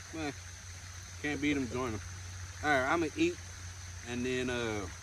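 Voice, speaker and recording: A man speaks with lively intonation at a moderate pace. His pitch sits in the medium range. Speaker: fishing and camping YouTuber. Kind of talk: casual chat. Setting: outdoors at night campsite. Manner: loud.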